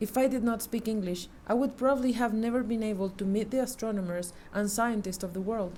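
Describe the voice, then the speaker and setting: With a Mexican accent, a woman speaks fairly quickly at a fairly high pitch, her dark, mellow, somewhat breathy voice holding fairly even intonation amid audible room echo. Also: hardly any pauses. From Mexico. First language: Spanish. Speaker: astronomy communicator. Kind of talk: conference talk. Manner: formal.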